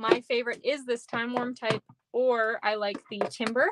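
A woman speaks at a moderate pace in a fairly high pitch. The sound is dry with no echo, and loud background noise runs underneath. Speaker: craft demonstrator. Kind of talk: live tutorial. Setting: home basement livestream. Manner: casual, chatty. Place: home room.

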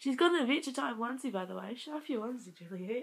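A woman's somewhat breathy voice moves with lively intonation. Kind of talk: casual vlog.

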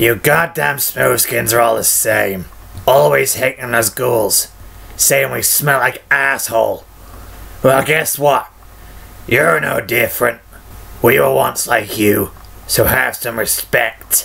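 A man puts on a character voice that is raspy and gravelly, at a medium pitch and a fairly slow pace. He leaves long, frequent pauses, and there is light background noise.

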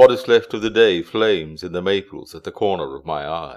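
A man talks at a fairly slow pace. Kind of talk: poetry reading.

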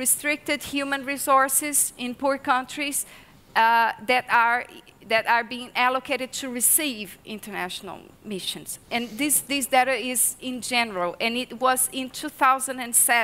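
Speaking with a Portuguese accent, a woman uses a high pitch, a bright, sharp tone and ordinary pitch variation at a fairly slow pace. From Brazil. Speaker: research associate; speaker. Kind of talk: panel discussion. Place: hall. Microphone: headset.

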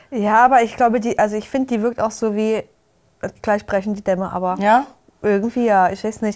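The background is quiet. A woman with a fairly high pitch speaks at a fairly quick pace. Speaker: YouTube reality TV commentator. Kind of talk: casual chat. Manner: animated. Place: studio. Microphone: lapel.

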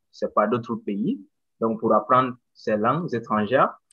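A man does the talking. Behind him the background stays quiet. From Mali, Bamako; Mali. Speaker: English teacher and doctoral student. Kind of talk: casual presentation. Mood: friendly, smiling. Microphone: video call.

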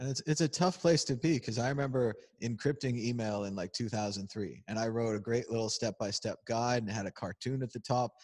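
A man talks at a fairly quick pace with hardly any pauses and ordinary pitch variation. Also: quiet background. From United States. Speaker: crypto video host. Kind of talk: casual chat. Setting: conference venue, on camera. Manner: animated, joking. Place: hall. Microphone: handheld.

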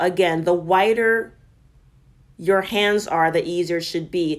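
Against a quiet background, the speaker talks at a fairly slow pace with fairly even intonation. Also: woman. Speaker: fitness instructor. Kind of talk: tutorial. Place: garage. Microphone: camera far.

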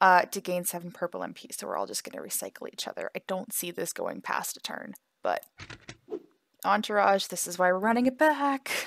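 A quiet woman speaks at a fairly quick pace with big swings in loudness. The sound is dry and close, with no echo. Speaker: mobile gaming content creator. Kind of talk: gameplay commentary. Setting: home apartment at night.

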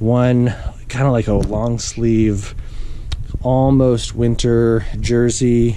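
The speech comes at a very slow pace, dry with no echo, over light background noise. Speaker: video blogger, amateur cyclist. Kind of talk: tutorial. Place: home room. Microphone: phone near.

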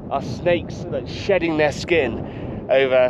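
A man speaks with ordinary pitch variation over noticeable background noise. The sound is dry, with no echo. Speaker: trekker vlogger. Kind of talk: casual vlog chat. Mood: awed, relaxed. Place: open country. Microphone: phone near.

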